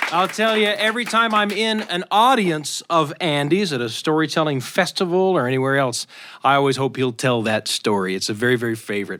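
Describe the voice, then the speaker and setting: Bright and sharp in tone, a man speaks fairly quickly with hardly any pauses. His fairly high voice makes very wide pitch swings. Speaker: radio show host.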